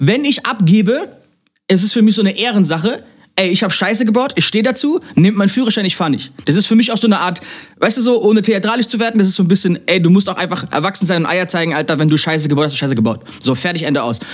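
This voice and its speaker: A man talks at a very fast pace. His voice is high-pitched, with lively intonation. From Germany, near Mannheim. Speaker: DJ and music producer. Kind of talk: casual chat.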